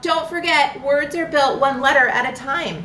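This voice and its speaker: Over clear background noise, a woman puts on a high-pitched character voice at a moderate pace. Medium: read story. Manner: chirpy, bubbly, enthusiastic.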